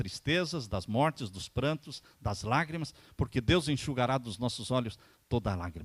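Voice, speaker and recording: A man's unremarkable speaking voice, medium in pitch, at a moderate pace with lively intonation. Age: 60s. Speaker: pastor. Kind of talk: sermon.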